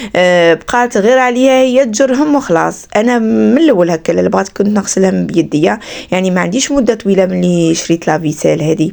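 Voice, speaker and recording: A woman at medium pitch talks at a moderate pace with hardly any pauses. Her pitch swings very widely while her loudness stays very even. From Algeria, Skikda. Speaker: vlogger, mother and homemaker. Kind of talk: casual vlog narration.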